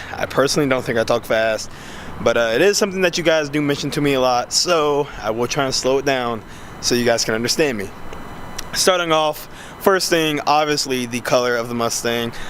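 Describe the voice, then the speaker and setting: A medium-pitched man at a fairly quick pace with ordinary pitch variation, amid noticeable background noise. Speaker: car vlogger. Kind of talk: casual video review. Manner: fast.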